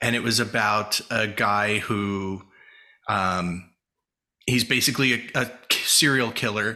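With an American accent, a man talks in a bright, sharp tone and fairly even intonation, captured in a very clean recording with a silent background. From New Jersey. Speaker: screenwriter, actor and podcast host. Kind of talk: casual interview chat. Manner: frequent laughter.

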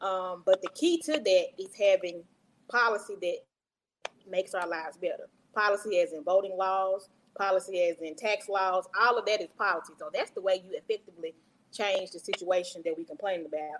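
A woman with a Mississippi accent, at a fairly quick pace. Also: medium pitch for a woman, ordinary pitch variation. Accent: US Southern, Mississippi. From Jackson, Mississippi. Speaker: county election commissioner. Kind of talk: interview. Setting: live video stream.

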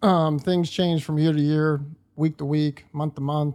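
In an American accent, the speaker has an ordinary speaking voice with fairly even intonation and a fairly slow pace, recorded very cleanly with a silent background. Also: man. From North Central West Virginia. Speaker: hunter. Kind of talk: casual chat. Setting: cabin at deer camp.

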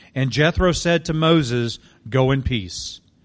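Against a quiet background, a man uses an ordinary speaking voice at a fairly slow pace with lively intonation. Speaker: scripture reader. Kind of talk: reading aloud. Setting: church.

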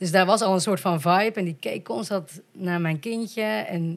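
A woman with a plain, everyday voice speaks at a medium pitch and a fairly slow pace, with ordinary pitch variation. The recording is very clean, with a silent background. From Netherlands, Volendam. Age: 30s. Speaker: podcast guest, adoptee from Colombia. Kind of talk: casual chat.

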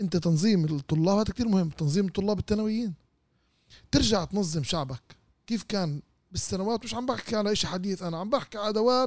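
A man's high-pitched, animated voice with lively intonation at a fairly quick pace, in a dry, close sound with no echo. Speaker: politician and political activist. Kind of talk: political interview.

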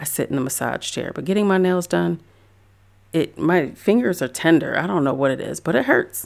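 Very deep and low for a woman, her voice carries vocal fry at a fairly quick pace. The recording is very clean, with a silent background. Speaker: podcast host and photographer. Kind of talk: solo podcast pep talk. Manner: encouraging, conversational.

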